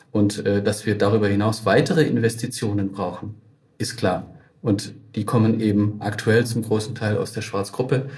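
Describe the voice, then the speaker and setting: At a moderate pace, a man speaks with fairly low pitch, fairly even intonation and a somewhat breathy voice. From Baden-Württemberg, Tübingen. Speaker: innovation network manager, head of an AI park. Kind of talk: interview.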